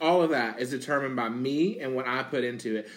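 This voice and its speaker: Talking at a fairly quick pace, a man at medium pitch uses a plain, everyday voice. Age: 30s. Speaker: gamer and streamer. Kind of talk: casual chat.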